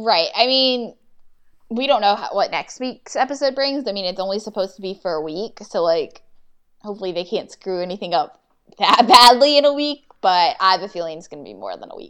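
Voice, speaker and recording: A woman with a plain, everyday voice talks at a fairly quick pace. Her pitch is medium. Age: 20s. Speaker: podcast co-host recapping a TV drama. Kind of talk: casual chat.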